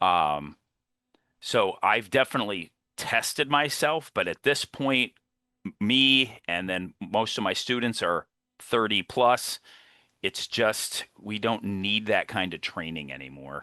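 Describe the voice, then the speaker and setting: A man speaks at a very slow pace in a fairly low pitch with vocal fry and very wide pitch swings. The sound is dry and close with no echo, over a quiet background. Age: 60s. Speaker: martial arts instructor and high school teacher. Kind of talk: podcast interview.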